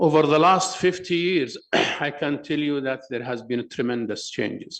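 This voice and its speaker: A fairly high-pitched man with an Arabic accent, ordinary pitch variation and a moderate pace. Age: 60s. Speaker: professor of endocrinology. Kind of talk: conference presentation.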